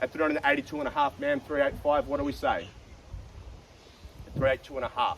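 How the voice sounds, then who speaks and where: A man with an Australian accent talks at a very fast pace over noticeable background noise. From South Australia. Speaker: auctioneer. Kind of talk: live auction calling. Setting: outdoors.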